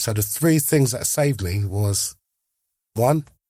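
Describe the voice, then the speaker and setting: In an English accent, a man speaks at a fairly low pitch and a fairly slow pace, his somewhat breathy voice dark and mellow in tone, with ordinary pitch variation on a very clean recording with a silent background. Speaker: former prisoner and recovered addict. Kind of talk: interview storytelling. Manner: animated.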